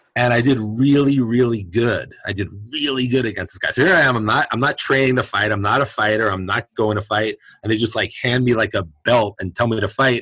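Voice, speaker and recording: A man at a fairly quick pace shows ordinary pitch variation in a normal speaking voice. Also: medium pitch for a man. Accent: American. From Brooklyn, New York. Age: 50s. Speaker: chiropractor and martial artist. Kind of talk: casual interview chat.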